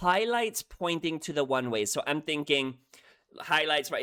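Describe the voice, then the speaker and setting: With a non-native accent, a man speaks at a fairly high pitch in a bright, sharp, animated tone. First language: not English. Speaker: music reaction youtuber. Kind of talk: reaction video commentary. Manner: animated, excitable; halting, repeats words.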